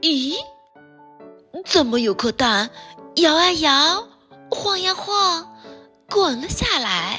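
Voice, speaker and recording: With music in the background, a woman speaks very slowly at an extremely high pitch, swinging her pitch very widely and pausing long and often. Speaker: storyteller. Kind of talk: children's bedtime story reading. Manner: gentle, playful.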